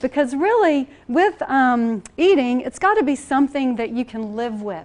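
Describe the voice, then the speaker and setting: In a Southern US accent, a woman speaks with a high pitch and an animated tone. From US South. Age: 40s. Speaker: nutrition coach. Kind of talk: presentation to an audience. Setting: church hall with audience. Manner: fast.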